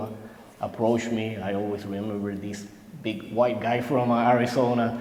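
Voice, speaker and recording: A man with a Spanish accent at a moderate pace, medium pitch and fairly even intonation, amid audible room echo and noticeable background noise. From Puerto Rico. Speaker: military veteran. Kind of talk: recorded interview testimony. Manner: halting, many fillers.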